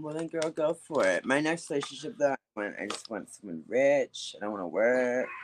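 An American man with an ordinary speaking voice, fairly high in pitch, talks at a moderate pace with lively intonation and hardly any pauses. The sound is dry and close, with no echo. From US, Baltimore, Maryland. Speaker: nightlife promoter and talent manager. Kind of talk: casual chat.

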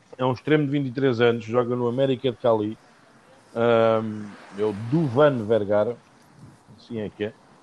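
A man with a European Portuguese accent speaks at a medium pitch and a fairly slow pace. His speech has long, frequent pauses. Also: fairly even intonation. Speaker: football podcast host. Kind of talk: casual chat.

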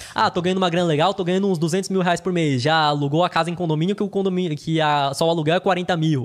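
A man talks at a very fast pace with hardly any pauses and very even loudness. His pitch is high and his intonation fairly even. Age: 20s. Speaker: finance YouTuber. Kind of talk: casual interview.

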